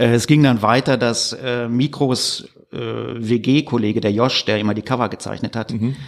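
A man speaks at medium pitch with vocal fry. His pace is fairly slow and his intonation fairly even. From Ruhr area, Germany (Gladbeck/Recklinghausen). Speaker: author and musician. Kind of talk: casual interview chat. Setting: studio, face to face.

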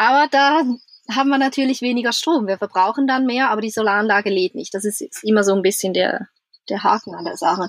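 A woman talks very fast at a fairly high pitch, her pitch varying in an ordinary way. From Switzerland. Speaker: traveller, van-life couple. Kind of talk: casual interview.

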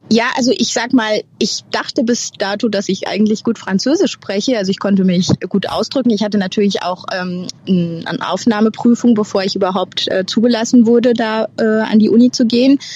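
A woman's fairly high voice at a moderate pace with hardly any pauses and ordinary pitch variation, amid noticeable background noise. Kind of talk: interview. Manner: hesitant, with fillers.

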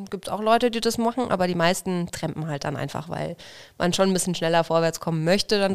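On a very clean recording with a silent background, a woman uses an ordinary speaking voice at a fairly quick pace with ordinary pitch variation. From Franconia, Bavaria (near Nuremberg). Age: 30s. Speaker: journeyman butcher on traditional travels. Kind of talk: casual interview.

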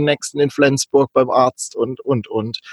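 This is an unremarkable speaking voice at a moderate pace. The sound is dry and close, with no echo. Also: man. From southern Baden, Kaiserstuhl. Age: 40s. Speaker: digital nomad, virtual assistant. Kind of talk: casual interview.

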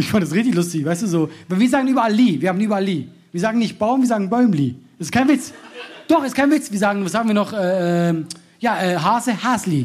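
Very fast, lively speech from a man with a high pitch, in audible room echo. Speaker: comedian and podcast host. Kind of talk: live podcast recording with audience banter. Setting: live stage with audience, outdoors in rain.

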